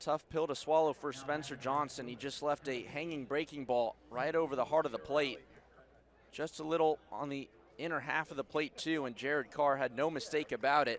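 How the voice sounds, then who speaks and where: A man with an unremarkable speaking voice talks at a fairly quick pace. His pitch is fairly high, and his intonation fairly even. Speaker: baseball play-by-play broadcaster. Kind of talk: baseball play-by-play broadcast.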